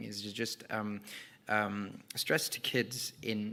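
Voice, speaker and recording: A man with an English accent and a bright, sharp tone. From England. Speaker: singer-songwriter. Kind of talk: award acceptance speech. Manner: hesitant, halting with fillers.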